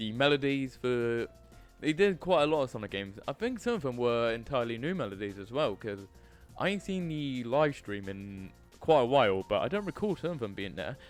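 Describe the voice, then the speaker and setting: Over music in the background, a man speaks at a fairly quick pace with very wide pitch swings. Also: medium pitch for a man. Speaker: YouTuber. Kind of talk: casual talk to camera.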